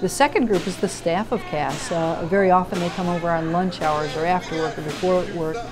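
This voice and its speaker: A woman's fairly low voice at a fairly quick pace, with ordinary pitch variation, hardly any pauses, and noticeable background noise. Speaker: pastor. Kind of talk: interview answer. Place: office.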